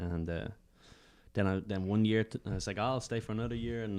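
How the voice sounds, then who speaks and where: A man with an Irish accent, very fast delivery and fairly even intonation. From Ireland, Dublin. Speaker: stand-up comedian. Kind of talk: casual chat.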